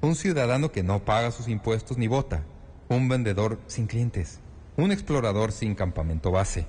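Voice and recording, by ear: The intonation is lively as someone is reading aloud in a natural voice.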